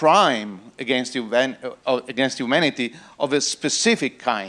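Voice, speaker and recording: A man with an Italian accent and lively intonation. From Italy. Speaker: panel moderator. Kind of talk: conference panel introduction. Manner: halting.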